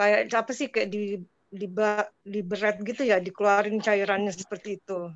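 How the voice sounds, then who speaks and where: A woman speaks in a monotone with flat intonation, and the sound is dry with no echo. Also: moderate pace. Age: 50s. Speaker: participant. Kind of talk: question and answer. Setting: video call. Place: home room. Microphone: video call.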